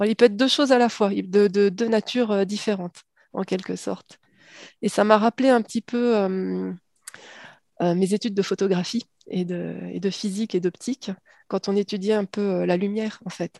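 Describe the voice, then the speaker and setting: A woman with a medium pitch speaks at a moderate pace with fairly even intonation in an unremarkable speaking voice. The background is quiet and the sound is dry and close, with no echo. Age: 50s. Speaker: science fiction author. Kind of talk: interview.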